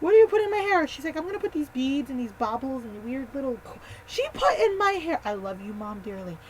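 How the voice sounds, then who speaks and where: An animated tone with very wide pitch swings runs at a fairly quick pace over noticeable background noise. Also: woman. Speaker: vlogger. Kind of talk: casual storytelling vlog. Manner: fast.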